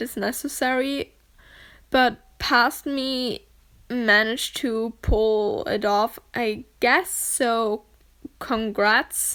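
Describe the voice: A woman with a German accent speaks at a fairly high pitch. Her tone is clear, smooth and fairly bright.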